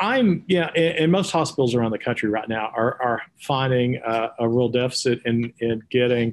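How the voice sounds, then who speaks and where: A man speaks with a Texas accent. His pitch sits in the medium range. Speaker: podcast host. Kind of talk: interview. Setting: studio.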